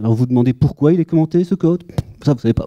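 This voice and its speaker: With a slight Belgian accent, a man speaks at a fairly high pitch in a dark, mellow tone, with very wide pitch swings and a dry, close sound with no echo. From Belgium. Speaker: conference speaker, data architect. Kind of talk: conference talk. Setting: conference room with audience. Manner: humorous, conversational.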